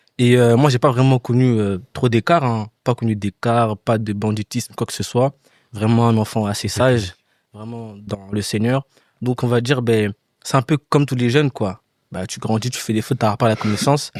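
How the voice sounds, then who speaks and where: On a very clean recording with a silent background and a dry, close sound with no echo, a man uses an ordinary speaking voice at a medium pitch, with fairly even intonation and a moderate pace. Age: young. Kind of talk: casual chat.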